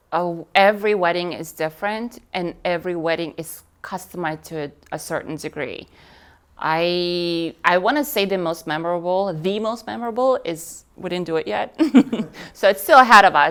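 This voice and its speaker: A woman with a Russian accent speaks at a fairly low pitch, her intonation lively and her loudness swinging widely. The recording is very clean, with a silent background. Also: moderate pace. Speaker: wedding display business owner. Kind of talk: interview. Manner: talkative.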